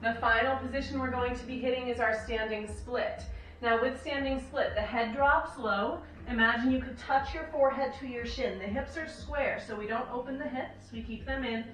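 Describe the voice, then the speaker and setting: With audible room echo and light background noise, a woman speaks at a moderate pace in a high pitch and fairly even intonation. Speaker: fitness and yoga instructor. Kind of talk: instructional workout cueing, talking viewers through yoga-based strength combos. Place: home room.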